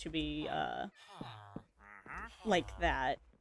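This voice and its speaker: With a dry, close sound and no echo at all, a woman talks. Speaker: gaming streamer. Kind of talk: casual live-stream commentary. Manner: quiet, low-key.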